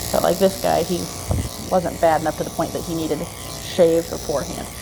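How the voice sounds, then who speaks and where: A soft-spoken woman with a fairly low pitch talks at a fairly quick pace in a flat monotone, with music playing in the background. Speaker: dog groomer. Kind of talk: casual narration while grooming. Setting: grooming salon, others in next room.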